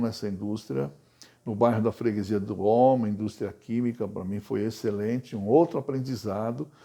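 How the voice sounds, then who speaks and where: The recording is very clean, with a silent background. A man with a dark, mellow tone speaks at a moderate pace. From Brazil, São Paulo city. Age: 70s. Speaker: retired banker and cultural project manager. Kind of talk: personal life story interview.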